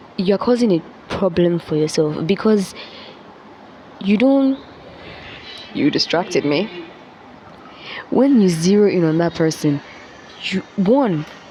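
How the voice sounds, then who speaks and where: Over noticeable background noise, a woman at medium pitch speaks at a fairly slow pace with lively intonation, very even loudness, and long, frequent pauses. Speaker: vlogger. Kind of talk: motivational talk. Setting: classroom. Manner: casual.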